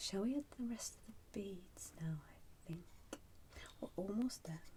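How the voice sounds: The delivery is fairly slow, with a dark, mellow tone. Its intonation is lively. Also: woman, medium pitch for a woman.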